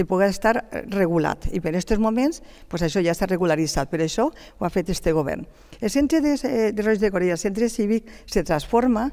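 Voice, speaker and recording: Against a quiet background, a woman talks at a fairly quick pace with lively intonation and a dark, mellow tone. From Gandia, Valencian Community. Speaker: city councillor. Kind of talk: heated debate. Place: studio. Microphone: headset.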